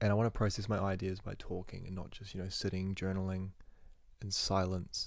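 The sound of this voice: A man speaks fairly quickly in a low voice with vocal fry. His pitch barely moves.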